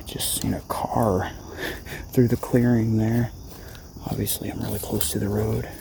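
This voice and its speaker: Soft-spoken, a man talks at a moderate pace with long, frequent pauses over noticeable background noise. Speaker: survival and prepping vlogger. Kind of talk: nature walk vlog. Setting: outdoors.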